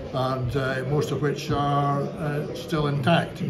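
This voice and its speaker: A man's voice over loud background noise. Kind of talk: interview answer. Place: bar. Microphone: phone near.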